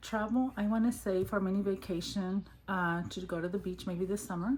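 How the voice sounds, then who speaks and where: A woman with an American accent whispers at a moderate pace, her voice somewhat breathy. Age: 50s. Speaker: budgeting vlogger. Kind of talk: casual vlog talk. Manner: whispering.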